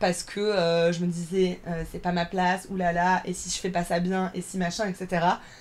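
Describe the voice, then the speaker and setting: At a moderate pace, a woman speaks. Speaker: drag performer. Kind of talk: podcast interview.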